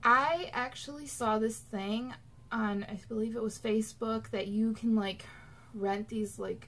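Speaking at a very slow pace, a woman uses a fairly high pitch with ordinary pitch variation. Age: 20s. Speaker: YouTuber; vlogger. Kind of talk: casual vlog monologue. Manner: chatty, many fillers. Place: home room. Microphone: webcam.

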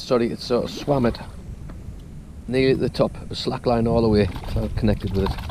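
Faint background noise sits behind a man of medium pitch with a dark, mellow tone. He talks at a fairly quick pace with ordinary pitch variation.

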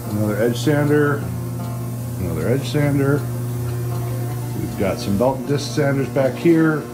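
Clear music plays behind a man talking. His pitch varies in an ordinary way. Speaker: program instructor giving tour. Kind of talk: casual tour commentary. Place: workshop. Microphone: phone near.

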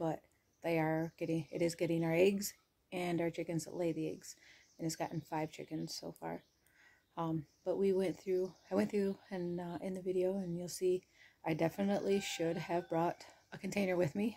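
A woman speaks in a fairly low pitch with a dark, mellow tone and a monotone, flat intonation. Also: moderate pace. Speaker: homestead vlogger. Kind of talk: casual vlog chat. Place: home room. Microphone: phone near.

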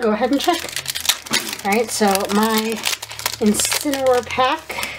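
With noticeable background noise behind her, a woman speaks with long, frequent pauses. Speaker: gaming YouTuber and streamer. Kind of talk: casual card pack opening chat.

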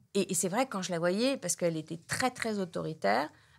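Her lively intonation stands out as a woman at medium pitch speaks at a fairly quick pace in a very clean recording with a silent background. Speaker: addiction therapist. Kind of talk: interview. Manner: halting.

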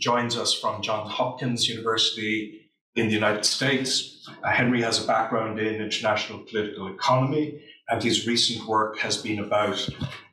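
Through audible room echo and light background noise, a man talks at a moderate pace with very even loudness and fairly even intonation. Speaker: panel chair. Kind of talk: opening remarks introducing a panel. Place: classroom.

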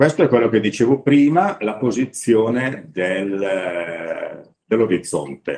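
Speaking at a very slow pace with hardly any pauses, a man uses lively intonation. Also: medium pitch for a man. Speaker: photography enthusiast instructor. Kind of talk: workshop lecture.

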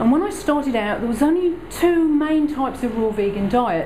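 A woman is heard over light background noise. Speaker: presenter. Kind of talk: lecture. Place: hall. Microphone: camera far.

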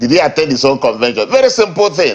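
In a quiet background, a man with a Nigerian accent speaks at a very fast pace. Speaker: party politician. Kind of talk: heated debate. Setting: remote live link. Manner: loud. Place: studio.

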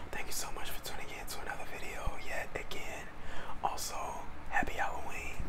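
A man speaks with long, frequent pauses. Loud background noise surrounds him. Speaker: ASMR creator. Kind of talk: ASMR eating video talk to camera. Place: home room. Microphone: lapel.

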